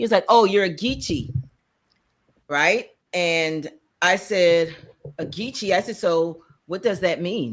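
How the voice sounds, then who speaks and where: A woman with a slight Charleston accent, fairly low in pitch, fairly slow, with lively intonation and long, frequent pauses. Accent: slight Charleston, South Carolina. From US South, Charleston, South Carolina. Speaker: podcast co-host. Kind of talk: casual chat.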